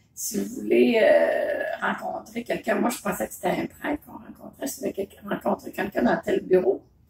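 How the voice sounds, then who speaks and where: A woman at a moderate pace with audible room echo. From Quebec. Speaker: mother telling memories. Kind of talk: casual conversation, telling memories. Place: home room. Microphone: phone near.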